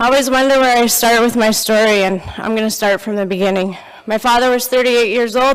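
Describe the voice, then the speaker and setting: Fairly quick talk, fairly even in intonation, against noticeable background noise. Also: woman. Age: 40s. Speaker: speaker sharing life story. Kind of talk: testimony. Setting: church. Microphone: handheld microphone given after audibility problems.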